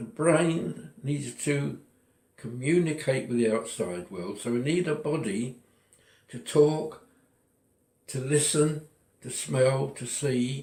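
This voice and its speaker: Very slow and somewhat breathy, the voice moves with lively intonation and big swings in loudness, broken by long, frequent pauses. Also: man, medium pitch for a man. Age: 80s+. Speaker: retiree sharing personal philosophy. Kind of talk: personal monologue. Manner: halting.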